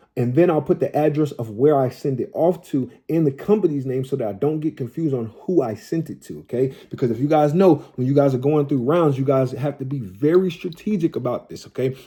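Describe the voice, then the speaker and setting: On a very clean recording with a silent background, a somewhat breathy man speaks at a fairly quick pace with hardly any pauses. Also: ordinary pitch variation. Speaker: credit repair tutorial creator. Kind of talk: tutorial. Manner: fast; casual, repetitive filler-heavy.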